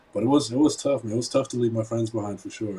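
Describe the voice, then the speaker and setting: Somewhat breathy, a man speaks with a German accent in a dark, mellow tone. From Germany. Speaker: entrepreneur and investor. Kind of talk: interview. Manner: halting, many repetitions.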